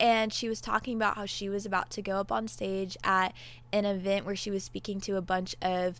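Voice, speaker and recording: The recording is very clean, with a silent background. A woman talks at a moderate pace with a medium pitch. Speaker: podcast host. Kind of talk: pep talk, encouraging faith-based monologue. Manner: animated, warm, upbeat; earnest, conversational, direct address.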